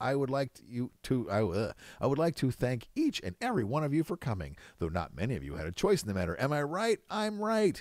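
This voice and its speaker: It is a put-on character voice, robotic and guttural with a theatrical tone. The pace is fairly quick, and the recording is very clean with a silent background. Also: man, medium pitch for a man. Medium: read story. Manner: showman, theatrical.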